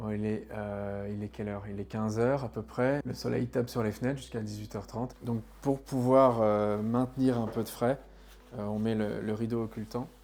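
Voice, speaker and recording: His voice is fairly low-pitched, with a dark, mellow tone. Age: 30s. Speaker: tenant giving testimony. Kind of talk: testimony. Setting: at home, apartment. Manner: hesitant, many fillers.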